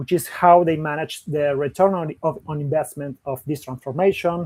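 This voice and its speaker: Fairly high in pitch yet dark and mellow in tone, a man speaks with fairly even intonation in a dry, close sound with no echo. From Argentina. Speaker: company CEO. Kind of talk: webinar presentation. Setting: online webinar. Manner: halting with fillers and repeats.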